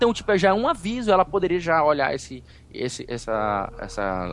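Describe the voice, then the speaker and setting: A man talks with very wide swings in pitch. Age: 30s. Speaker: podcaster. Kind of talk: casual chat.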